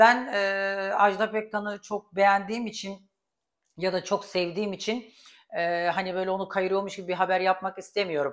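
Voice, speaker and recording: A woman with an unremarkable speaking voice talks at a moderate pace and a medium pitch. Her intonation stays fairly even over a quiet background. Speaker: YouTube celebrity gossip commentator; gossip vlogger. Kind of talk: casual vlog commentary. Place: kitchen. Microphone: lapel.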